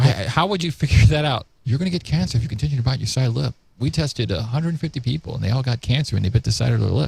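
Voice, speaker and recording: A man at a medium pitch, talking very fast with vocal fry and very wide pitch swings. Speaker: talk show host. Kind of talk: casual chat.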